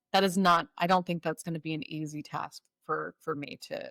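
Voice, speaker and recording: A woman with a fairly low pitch and a bright, sharp tone speaks at a moderate pace with fairly even intonation, in a dry, close sound with no echo. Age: 40s. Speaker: spiritual guide and Reiki master. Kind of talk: podcast interview.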